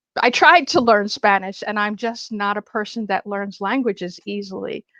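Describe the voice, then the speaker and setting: An unremarkable speaking voice moves at a fairly slow pace over a quiet background, the sound dry and close with no echo. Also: woman. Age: 60s. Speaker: actress. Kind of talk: casual chat.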